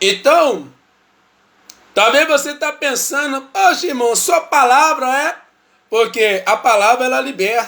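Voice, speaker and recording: Using a raised, projected voice, a man speaks at a very slow pace with long, frequent pauses, an extremely high pitch, lively intonation and a bright, sharp tone. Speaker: lay preacher. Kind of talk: bible study livestream.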